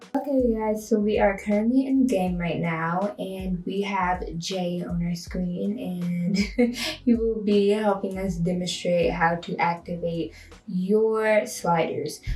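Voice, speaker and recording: Noticeable background noise and audible room echo surround a woman's voice of medium pitch. She speaks at a very slow pace with ordinary pitch variation. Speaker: gaming video creator. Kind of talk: tutorial. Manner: casual, chatty.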